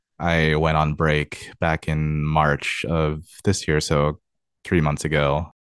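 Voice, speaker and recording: A man with a very deep, low pitch talks with a West Coast US accent. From US Pacific Northwest, Tacoma, Washington. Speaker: video game QA tester. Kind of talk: interview. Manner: hesitant, many fillers.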